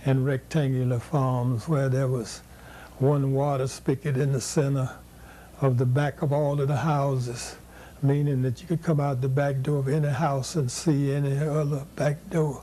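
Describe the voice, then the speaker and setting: A man's fairly high voice has a dark, mellow, somewhat breathy tone. He speaks in a flat monotone. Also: moderate pace, very even loudness. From US South, Mississippi Delta. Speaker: educator and activist. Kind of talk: oral history interview. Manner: halting.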